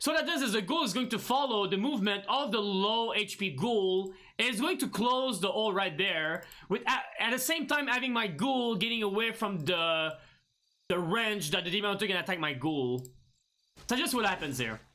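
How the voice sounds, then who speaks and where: A man's raised, projected voice, high in pitch, with very wide pitch swings and very even loudness. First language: not English. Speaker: gaming streamer; gamer, streamer. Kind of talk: tutorial. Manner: halting, many fillers and restarts. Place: home room.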